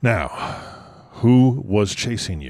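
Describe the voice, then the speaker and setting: A man's fairly low, put-on character voice with very wide pitch swings. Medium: read story. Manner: terse, controlled.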